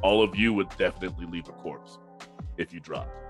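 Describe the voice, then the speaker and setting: With music in the background, a man with a very deep, low voice speaks at a fairly quick pace. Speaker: game master narrating a tabletop roleplaying game.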